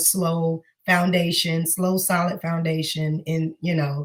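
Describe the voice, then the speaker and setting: In an American accent, a woman speaks with flat, monotone intonation, a fairly low pitch and a somewhat breathy quality. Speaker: singer and teacher. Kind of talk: interview.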